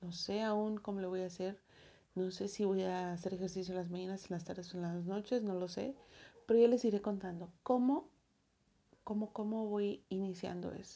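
A woman with a Mexican accent speaks at a moderate pace. Her pitch is medium and her intonation fairly even. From Mexico. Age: 30s. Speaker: podcast host. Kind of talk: personal audio diary. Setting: alone in her bedroom. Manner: casual, many filler words.

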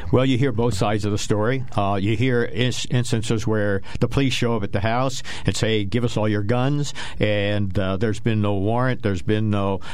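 Noticeable background noise accompanies a man whose fairly low voice keeps fairly even intonation and very even loudness. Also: moderate pace. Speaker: co-host, army veteran and investment counselor. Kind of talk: radio talk show discussion. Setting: radio studio.

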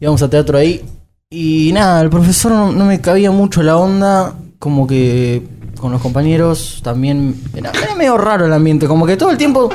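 Over music in the background and with audible room echo, a man speaks at a moderate pace in a fairly high pitch with lively intonation. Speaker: podcast guest, actor. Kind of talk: casual chat.

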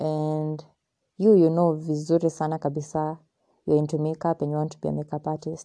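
A woman with a very deep, low pitch and a dark, mellow tone talks at a fairly quick pace in a monotone, flat intonation, her loudness swinging widely over a quiet background. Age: young (19). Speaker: podcast host, student. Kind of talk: casual monologue. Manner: rambling with code-switching.

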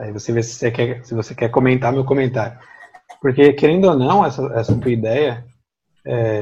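A man with a medium-pitched voice talks at a moderate speed, his pitch varying in an ordinary way. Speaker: podcast host, theologian. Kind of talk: podcast interview.

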